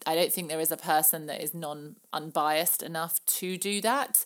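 This woman's voice is fairly low in pitch. She talks at a moderate pace. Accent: southern English. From southern England. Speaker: podcast host and former pageant contestant. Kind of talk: casual Q&A monologue. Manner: many filler words.

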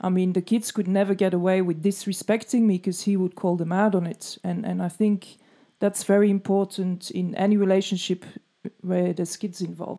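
A woman's voice has a dark, mellow tone and a medium pitch. She speaks at a moderate pace in a monotone, flat intonation. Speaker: podcast co-host. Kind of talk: casual interview chat. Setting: video call.

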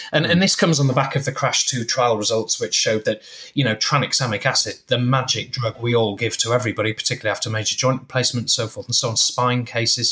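Very fast pace and hardly any pauses from a male speaker. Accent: English. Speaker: intensive care doctor. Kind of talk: casual chat. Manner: chatty, hesitant with fillers.

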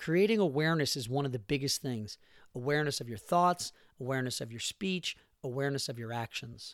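A man speaks in a normal speaking voice at a fairly high pitch and a moderate pace. The sound is dry and close with no echo, and the recording is very clean with a silent background. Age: 40s. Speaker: podcast host. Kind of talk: solo motivational monologue. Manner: casual with many filler words.

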